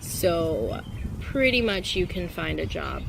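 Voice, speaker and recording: Noticeable background noise and audible room echo surround a woman's speech. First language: not English. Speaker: travel vlogger, English teacher abroad. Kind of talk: casual vlog talk. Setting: outdoors in a park.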